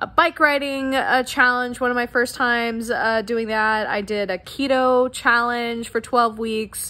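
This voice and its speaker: Bright and sharp in tone, the voice moves at a fairly slow pace. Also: woman, high pitch for a woman, ordinary pitch variation. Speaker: fitness vlogger. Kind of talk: casual vlog chat. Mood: warm, chatty. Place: home room. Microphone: phone near.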